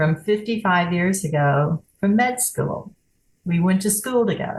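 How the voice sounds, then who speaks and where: A woman speaks at medium pitch in a somewhat breathy voice. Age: 80s+. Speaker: author and poet, widow. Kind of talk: interview.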